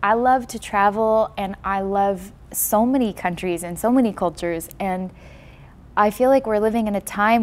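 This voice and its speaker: A woman with a Californian accent at a moderate pace. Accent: General American (California). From Los Angeles, US. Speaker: documentary filmmaker and musician. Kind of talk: interview.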